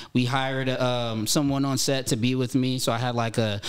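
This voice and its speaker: Someone with an American accent speaks at a moderate pace in a monotone, flat intonation. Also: man, quiet background. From Southern California, Pomona; Southern California. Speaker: actor and rapper; actor. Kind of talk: casual chat. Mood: reflective, calm. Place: studio. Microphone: studio mic.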